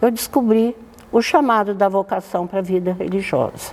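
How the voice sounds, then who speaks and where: A woman talks at a moderate pace while noticeable background noise runs behind her. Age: 90s. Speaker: nun. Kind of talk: interview.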